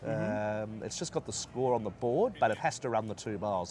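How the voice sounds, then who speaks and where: A man with an Australian accent talks at a fairly quick pace. His fairly low voice has vocal fry. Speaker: horse race caller. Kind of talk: interview answer. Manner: enthusiastic, casual.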